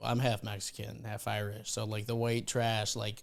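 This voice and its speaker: On a very clean recording with a silent background, a man with a Chicago accent speaks at medium pitch and a moderate pace. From Chicago, South Side. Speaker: comedian, podcast co-host. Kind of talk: casual chat. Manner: halting.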